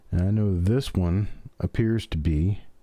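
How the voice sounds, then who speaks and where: Captured on a very clean recording with a silent background, a man with an American accent speaks in a very deep, low voice with a dark, mellow tone and ordinary pitch variation. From US South, Memphis Tennessee. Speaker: coin collector live streamer. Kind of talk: live stream hobby commentary. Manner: fast; folksy, chatty.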